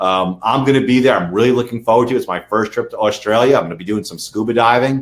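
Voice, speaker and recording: A man with a New York accent at a very fast pace, ordinary pitch variation, and big swings in loudness. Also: medium pitch for a man. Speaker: lawyer for online sellers. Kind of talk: webinar interview.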